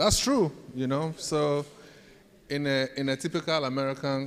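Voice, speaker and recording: A man speaks with a Ghanaian accent. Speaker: professor. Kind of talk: leadership talk to students.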